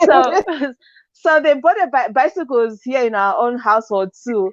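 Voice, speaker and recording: Against a quiet background, a woman speaks in a high voice. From Zimbabwe. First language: not English. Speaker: business coach. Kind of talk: interview.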